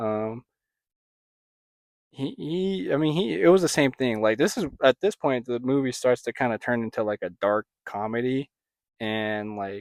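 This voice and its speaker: Over a very clean recording with a silent background, a man speaks at a medium pitch and fairly slow pace, with lively intonation. Long, frequent pauses mark his speech, heard as a dry, close sound with no echo. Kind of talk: ASMR soft-spoken review. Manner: casual, hesitant.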